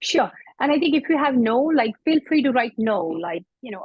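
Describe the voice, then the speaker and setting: Speaking fairly quickly, a woman lets her pitch range very widely up and down. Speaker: IT service management consultant. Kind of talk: webinar presentation. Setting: online webinar. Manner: fast.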